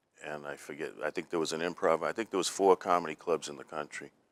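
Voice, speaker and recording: A man speaks with a Boston accent. The sound is dry and close, with no echo. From Boston (South Boston). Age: 60s. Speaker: comedian. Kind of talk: casual chat.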